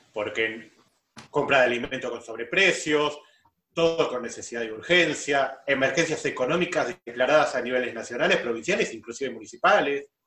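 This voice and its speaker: At a moderate pace, a man with a fairly high pitch speaks in a Buenos Aires accent, his pitch varying in an ordinary way. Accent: Buenos Aires Spanish (rioplatense). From Greater Buenos Aires. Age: 40s. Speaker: business administrator, podcast co-host. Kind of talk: casual chat.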